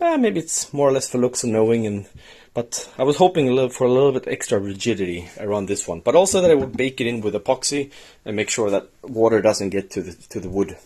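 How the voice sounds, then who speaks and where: With a Swedish accent, a man speaks very fast at medium pitch, his tone dark and mellow and his intonation lively. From Sweden. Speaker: DIY maker, video host. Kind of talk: tutorial. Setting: workshop shed.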